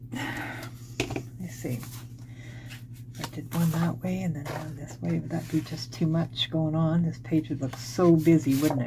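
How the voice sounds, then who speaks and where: A woman's very deep, low voice at a fairly slow pace, with ordinary pitch variation, big swings in loudness and noticeable background noise. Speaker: papercraft tutorial maker. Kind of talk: tutorial.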